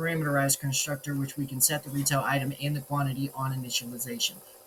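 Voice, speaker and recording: A man's fairly high-pitched voice at a very fast pace, with noticeable background noise. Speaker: student presenting a programming project. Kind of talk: code walkthrough screencast. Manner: casual, with fillers.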